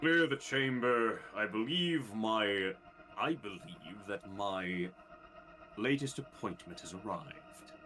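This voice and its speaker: A man puts on a character voice at a medium pitch, going at a fairly slow pace over clear background noise. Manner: commanding, ominous.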